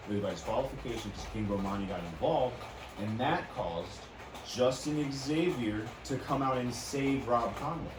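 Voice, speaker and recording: Amid audible room echo and noticeable background noise, a man talks at a medium pitch with ordinary pitch variation. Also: moderate pace. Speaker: wrestling podcast host. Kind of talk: casual chat. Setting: studio. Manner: loud.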